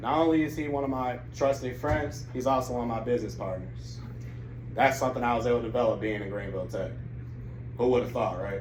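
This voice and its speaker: A man speaks very fast with an American accent. Room echo can be heard. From Grand Rapids, Michigan, later South Carolina. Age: 20s. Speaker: college student. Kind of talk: testimony.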